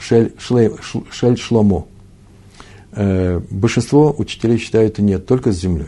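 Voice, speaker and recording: The man's voice sits fairly low in pitch. Its pitch moves in an ordinary way. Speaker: Talmud teacher. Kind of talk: lecture. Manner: halting.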